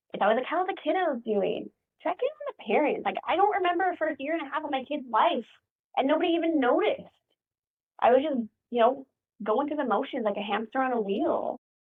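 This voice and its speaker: A woman speaks loudly at a very fast pace. Her voice is high-pitched, with very wide pitch swings. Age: 40s. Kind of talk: casual podcast interview. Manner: loud, talkative; animated.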